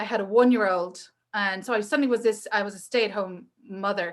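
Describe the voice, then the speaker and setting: A bright, sharp-toned woman in a Northern Irish accent, fairly quick, with ordinary pitch variation and a quiet background. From Northern Ireland. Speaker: entrepreneur and maker. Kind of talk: casual chat. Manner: animated.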